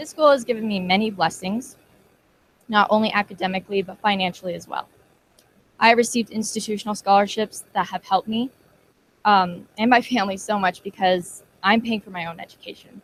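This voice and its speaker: A woman speaks at a medium pitch, a little breathy, at a fairly quick pace. Her intonation stays fairly even while her loudness swings widely. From Colorado. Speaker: community college student. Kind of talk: testimonial speech.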